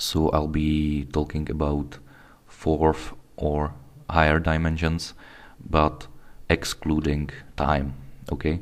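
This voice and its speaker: Speaking very slowly with a non-native accent, a man has a very deep, low voice. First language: not English. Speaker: video blogger. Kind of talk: casual talk to camera. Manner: halting, with false starts.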